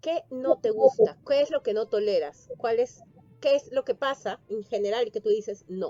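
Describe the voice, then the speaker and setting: Fairly slow and lively in intonation, a woman with a Peruvian accent speaks at a fairly high pitch in a dry, close sound with no echo. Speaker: interviewer. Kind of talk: interview.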